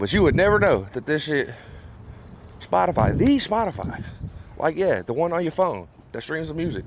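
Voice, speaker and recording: The voice has a relaxed tone and vocal fry, with an American accent. Its pitch swings very widely. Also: man. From Memphis, Tennessee (US South). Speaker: rapper and producer. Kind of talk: casual vlog chat. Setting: recording studio. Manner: casual, relaxed.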